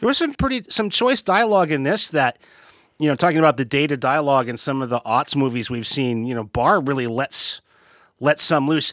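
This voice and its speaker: Using a plain, everyday voice, a man talks at a fairly quick pace with a fairly high pitch and lively intonation, recorded very cleanly against a silent background with a dry, close sound and no echo. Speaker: podcast host. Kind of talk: casual chat.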